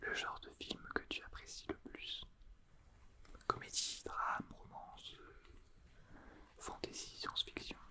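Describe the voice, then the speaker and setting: A man whispering at a very slow pace, with long, frequent pauses, big swings in loudness and noticeable background noise. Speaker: ASMR artist. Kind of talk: ASMR role play. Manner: whispered.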